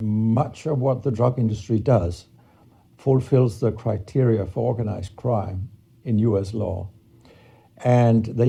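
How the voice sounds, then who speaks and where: Somewhat breathy, with a dark, mellow tone, a man with a Danish accent speaks at a medium pitch and a fairly slow pace, his intonation fairly even. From Denmark. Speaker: professor. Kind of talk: interview.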